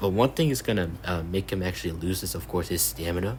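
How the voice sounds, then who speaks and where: A man speaks at a fairly quick pace with a very deep, low pitch. His voice has vocal fry and lively intonation. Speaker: YouTuber reacting to a comment thread. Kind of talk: reading aloud and commenting. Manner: halting, many fillers and restarts.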